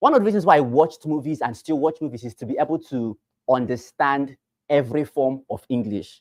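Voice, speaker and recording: A man with a Nigerian accent, fairly high pitch, ordinary pitch variation, big loudness swings and a fairly quick pace. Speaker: real estate sales trainer. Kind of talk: training session. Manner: animated.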